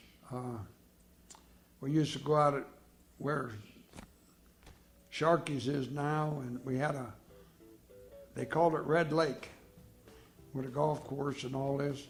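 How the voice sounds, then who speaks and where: Over music in the background, the speech moves at a fairly slow pace in a monotone, flat intonation with long, frequent pauses. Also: man, fairly high pitch for a man. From Florida. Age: 80s+. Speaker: retired funeral home owner. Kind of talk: oral history interview answer.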